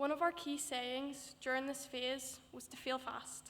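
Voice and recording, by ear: The voice has a fairly bright tone and little pitch movement. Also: woman.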